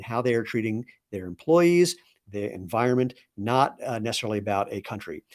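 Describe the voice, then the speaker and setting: A man with a normal speaking voice talks at a medium pitch with lively intonation. The recording is very clean, with a silent background. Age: 60s. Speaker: company co-founder and CEO. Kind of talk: live product presentation. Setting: livestream. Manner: casual and conversational.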